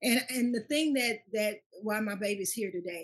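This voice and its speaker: Somewhat breathy speech from a woman with an American accent, medium-pitched, fairly quick, with very wide pitch swings. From Louisiana, Baton Rouge. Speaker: pastor and school founder. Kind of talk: testimony. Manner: halting.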